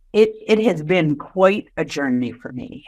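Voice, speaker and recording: The background stays quiet as a woman speaks with an American accent. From Boston area, US. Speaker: innovation executive. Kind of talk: podcast interview.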